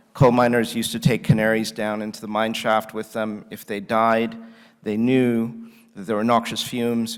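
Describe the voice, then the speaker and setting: In an American accent, the speaker keeps a moderate pace with monotone, flat intonation. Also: man. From United States. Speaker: conference speaker, economist. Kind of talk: conference keynote talk. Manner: many fillers, hesitant.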